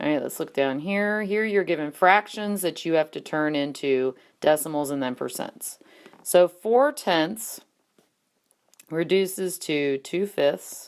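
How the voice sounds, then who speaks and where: A woman with an unremarkable speaking voice, fairly low pitch and a fairly slow pace. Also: lively intonation. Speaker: math teacher. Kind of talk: tutorial. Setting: screencast.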